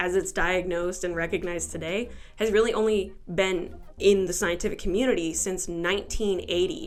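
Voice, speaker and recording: Using an ordinary speaking voice, a woman talks at a fairly quick pace and medium pitch with fairly even intonation. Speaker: amateur video essayist. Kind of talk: video essay voice-over. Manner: casual, sarcastic.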